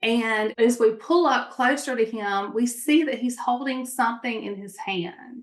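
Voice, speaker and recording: A woman with a Mississippi accent, high-pitched, at a fairly slow pace. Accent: Southern US (Mississippi). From Mississippi, US South. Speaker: entrepreneur. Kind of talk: interview storytelling. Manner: animated.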